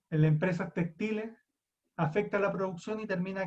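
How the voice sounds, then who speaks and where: Here a man talks at a fairly quick pace. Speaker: psychology lecturer. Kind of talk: lecture.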